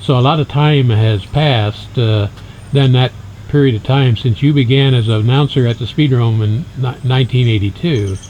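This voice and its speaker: Here is a man with an ordinary speaking voice, medium in pitch and with ordinary pitch variation. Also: moderate pace. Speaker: interviewer. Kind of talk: interview questions.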